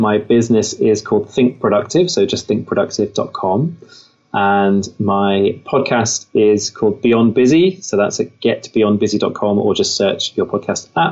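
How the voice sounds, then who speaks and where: With an English Midlands accent, a man talks at a fairly slow pace in a medium pitch, with ordinary pitch variation and very even loudness. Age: 30s. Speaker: author and entrepreneur. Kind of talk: interview.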